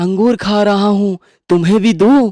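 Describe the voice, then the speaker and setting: This is a cartoonish character voice. Its pitch is fairly high. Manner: lively, naive.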